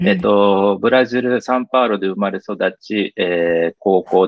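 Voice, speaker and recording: A man speaks in a plain, everyday voice with fairly low pitch. His pace is moderate. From Brazil (São Paulo), Japanese community. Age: 40s. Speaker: interview guest. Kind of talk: interview. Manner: formal, polite with fillers.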